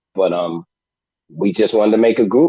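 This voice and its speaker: Against a quiet background, a man speaks at a medium pitch with lively intonation. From Brooklyn, New York. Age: 60s. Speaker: hip hop musician and producer. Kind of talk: interview. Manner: animated.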